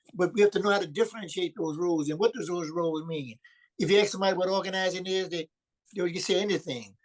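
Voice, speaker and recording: A man in a New Orleans accent, high in pitch, at a very fast pace. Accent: Southern US, New Orleans. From US South, New Orleans, Louisiana. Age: 80s+. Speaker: community organizer. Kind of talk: video call discussion. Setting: video call.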